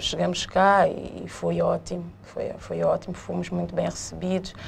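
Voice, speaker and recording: A woman speaks with hardly any pauses. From São Tomé and Príncipe, partly raised in Portugal. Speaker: businesswoman, laundry co-owner. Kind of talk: interview.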